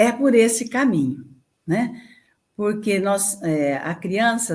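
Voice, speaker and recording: A woman speaks at a very slow pace in a medium pitch, her voice making very wide pitch swings. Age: 70s. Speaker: childcare charity director. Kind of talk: interview.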